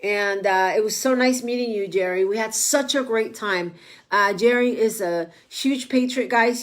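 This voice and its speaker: In a Spanish accent, a woman speaks with a fairly high pitch and fairly even intonation. The recording is very clean, with a silent background. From Mexico. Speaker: political candidate and online show host. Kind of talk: casual livestream monologue. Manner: halting, many fillers.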